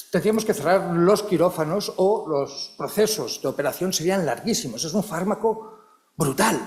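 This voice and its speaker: A man's animated voice, high-pitched with ordinary pitch variation. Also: moderate pace. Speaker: psychology researcher and professor. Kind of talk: conference talk. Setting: conference hall with audience and interpreters.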